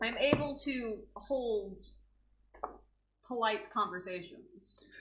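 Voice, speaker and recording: At a very slow pace, a woman with an American accent speaks at a fairly high pitch with ordinary pitch variation, and audible room echo is present. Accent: Texan accent, thick at times. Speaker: co-host. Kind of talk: casual chat.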